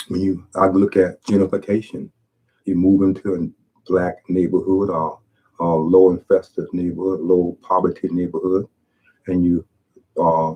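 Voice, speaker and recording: His pitch is very deep and low, and his intonation is monotone and flat. The man talks at a fairly slow pace. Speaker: YouTuber. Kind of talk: video monologue. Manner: halting.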